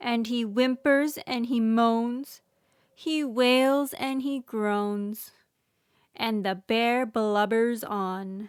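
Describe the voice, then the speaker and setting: In a put-on character voice, a woman growls and rumbles at a fairly high pitch and a very slow pace, on a very clean recording with a silent background. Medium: read story. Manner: growling, grumbling.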